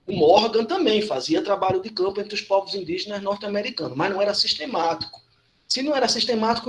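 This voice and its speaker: A high-pitched man at a fairly quick pace. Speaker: anthropology lecturer. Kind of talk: lecture. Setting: online class with chat.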